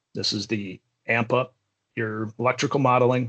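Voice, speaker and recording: Fairly even in intonation, a man speaks at medium pitch in an unremarkable speaking voice. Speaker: software trainer. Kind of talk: live tutorial. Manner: casual.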